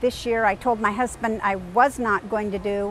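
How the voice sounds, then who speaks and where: Her pitch fairly high and her intonation fairly even, a woman speaks at a moderate pace. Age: 60s. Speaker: triathlete. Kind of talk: interview monologue. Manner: halting, with fillers.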